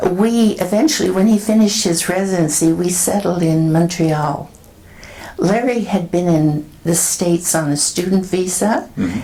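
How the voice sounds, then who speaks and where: Over noticeable background noise, a woman with a Canadian accent speaks at a moderate pace in a fairly low pitch, with ordinary pitch variation and very even loudness. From Canada (Northern Ontario, Toronto). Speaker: retired public health nurse. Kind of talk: oral history interview answer.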